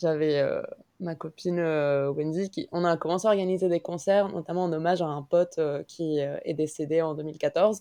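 A woman's voice has a dark, mellow tone and a fairly low pitch. She speaks at a fairly slow pace with fairly even intonation. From Mexico. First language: Spanish (speaking French). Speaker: concert organizer and illustrator. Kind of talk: casual chat.

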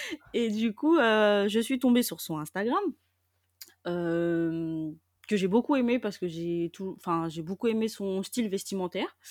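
Very slow, lively intonation from a woman at medium pitch, on a very clean recording with a silent background. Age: 20s. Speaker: nursery childcare assistant. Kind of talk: personal testimony interview. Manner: hesitant, many filler words.

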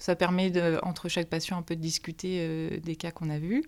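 The speaker is a woman with a fairly low pitch. Her delivery comes at a moderate speed. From Normandy (Manche). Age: 20s. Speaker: medical intern (general practice). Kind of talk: interview. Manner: hesitant, many fillers.

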